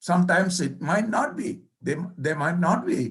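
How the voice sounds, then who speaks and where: This man's voice is pitched high. He has a non-native accent. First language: not English. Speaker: professor. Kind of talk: keynote lecture. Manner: halting.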